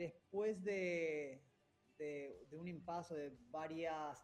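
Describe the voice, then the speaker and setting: This man talks with a fairly high pitch. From Rosario, Argentina. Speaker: real estate executive. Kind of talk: radio interview.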